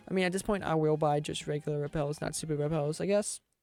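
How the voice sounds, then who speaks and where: With music in the background, the speech moves at a fairly quick pace. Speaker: gaming video creator. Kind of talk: let's play commentary. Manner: casual, rambling with fillers.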